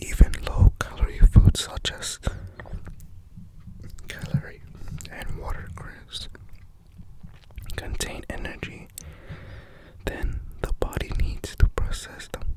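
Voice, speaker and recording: A man whispers at a very slow pace, with long, frequent pauses and big swings in loudness. Noticeable background noise sits behind him. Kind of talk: ASMR fact reading to camera. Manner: whispered, soft-spoken.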